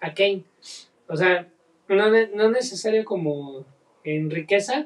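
A man talks in a Mexican accent. His pace is fairly slow. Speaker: podcast co-host, teacher. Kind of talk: casual chat.

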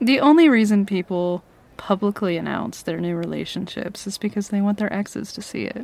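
A woman with a plain, everyday voice speaks at medium pitch and a fairly quick pace, showing ordinary pitch variation and big swings in loudness. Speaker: ASMR roleplay audio creator. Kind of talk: ASMR roleplay, intimate flirty scripted-sounding scene. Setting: ASMR audio roleplay addressed to a listener. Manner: teasing, playful, possessive, flirty with laughs and pauses.

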